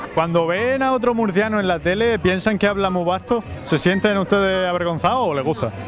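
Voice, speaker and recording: A high-pitched man at a fairly quick pace with hardly any pauses, ordinary pitch variation and very even loudness, over noticeable background noise. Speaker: local TV street reporter. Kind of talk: street interview questions.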